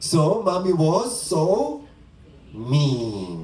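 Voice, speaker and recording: A man talks with lively intonation at a fairly high pitch. Room echo is audible. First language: not English. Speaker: spiritual teacher. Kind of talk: dharma talk. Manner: conversational.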